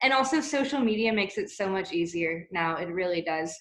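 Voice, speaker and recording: A woman with an American accent talks at a moderate pace in a medium pitch, with lively intonation. Hers is an unremarkable speaking voice. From US. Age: 20s. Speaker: expat guest speaker. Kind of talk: webinar chat.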